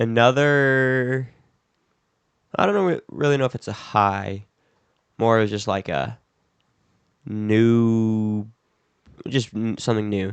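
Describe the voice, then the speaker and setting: A man with an American accent talks at a very slow pace with long, frequent pauses, in a medium pitch with ordinary pitch variation. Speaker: podcast co-host. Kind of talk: casual chat.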